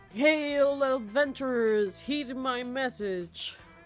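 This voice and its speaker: A woman's high-pitched put-on character voice at a very slow pace, with clear music in the background. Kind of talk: archaic, heraldic. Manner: weird, calling out.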